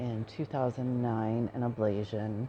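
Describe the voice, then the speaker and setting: Soft-spoken, a woman talks very slowly in a flat monotone, with a very deep, low pitch and a dark, mellow tone. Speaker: chronic pain patient. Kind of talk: personal testimony. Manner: hesitant with fillers.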